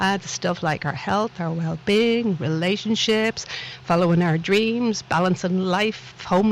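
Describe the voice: A woman speaks at a fairly slow pace with a Dublin accent. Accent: Dublin Irish.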